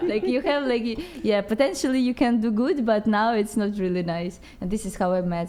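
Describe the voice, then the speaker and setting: Lively intonation runs with hardly any pauses over noticeable background noise. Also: woman. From Ukraine. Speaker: breaking dancer. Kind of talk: podcast interview. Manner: halting.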